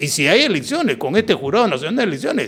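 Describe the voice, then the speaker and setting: A man with a high pitch talks with very wide pitch swings. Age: 70s. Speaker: political commentator. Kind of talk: political talk show discussion.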